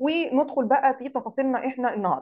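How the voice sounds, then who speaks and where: The speaker talks at a fairly quick pace with an Egyptian accent. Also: woman. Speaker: digital marketing instructor. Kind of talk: online lecture. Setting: live Zoom session.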